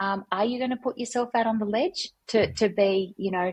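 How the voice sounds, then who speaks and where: Somewhat breathy, a woman speaks at medium pitch with a moderate pace and fairly even intonation. The sound is dry and close, with no echo. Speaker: workplace culture consultant. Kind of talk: podcast interview.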